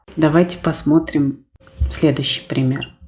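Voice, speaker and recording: A woman speaks with music in the background. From Russian-speaking country. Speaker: language teacher. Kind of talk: tutorial. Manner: clear, deliberate.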